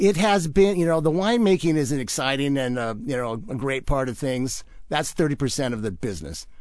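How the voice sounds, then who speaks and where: A man's fairly high voice with a Pacific Northwest accent, very wide pitch swings and a moderate pace. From Washington State (Wenatchee). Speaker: winemaker. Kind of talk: radio interview.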